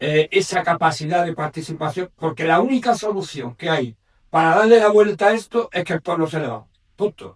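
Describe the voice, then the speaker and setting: An unremarkable speaking voice is heard here. The intonation is lively. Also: man. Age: 60s. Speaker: audience member. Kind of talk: audience question.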